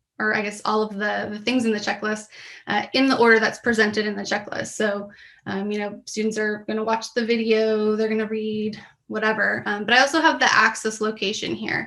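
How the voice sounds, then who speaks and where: A woman with a bright, sharp tone and a fairly high pitch speaks in a monotone, flat intonation, with audible room echo. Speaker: professor. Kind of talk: conference presentation. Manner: many fillers (um).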